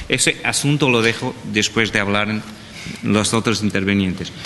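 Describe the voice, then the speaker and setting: A man speaks with a Portuguese accent and fairly even intonation. Noticeable background noise runs under his voice. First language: Portuguese (speaking Spanish). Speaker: panelist on public procurement. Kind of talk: panel presentation.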